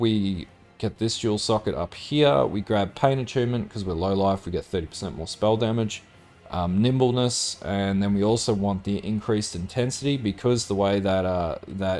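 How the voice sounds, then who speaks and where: A man speaks with an Australian accent at a moderate pace. His pitch sits fairly low, with ordinary variation. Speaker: gaming guide presenter. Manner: casual, with frequent filler words.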